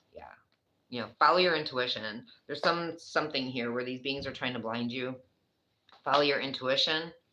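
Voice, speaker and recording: A woman with an American accent speaks at a fairly quick pace in a very deep, low pitch with ordinary pitch variation and a bright, sharp tone. Her loudness swings widely, long, frequent pauses break up her speech, and audible room echo surrounds her. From New York. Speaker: tarot reader. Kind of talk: tarot reading. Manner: casual, conversational.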